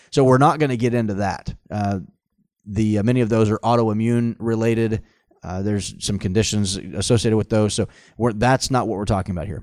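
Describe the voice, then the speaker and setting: A man speaks at a fairly low pitch with fairly even intonation, in a plain, everyday voice. The recording is very clean, with a silent background. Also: fairly quick pace. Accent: American. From Oklahoma (Tulsa). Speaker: physician. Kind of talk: casual interview about medicine.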